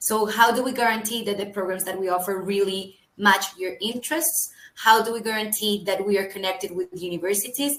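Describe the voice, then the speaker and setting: Noticeable background noise accompanies a woman with a Colombian accent. She speaks at a fairly quick pace and medium pitch with ordinary pitch variation. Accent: non-UK, Colombian. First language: Spanish. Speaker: HR early careers recruiter. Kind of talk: webinar presentation.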